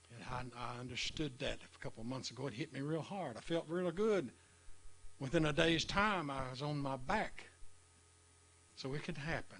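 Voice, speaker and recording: A man with a fairly high pitch speaks at a moderate pace with ordinary pitch variation and long, frequent pauses. Audible room echo is present. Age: 70s. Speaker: preacher. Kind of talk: sermon. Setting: live stream.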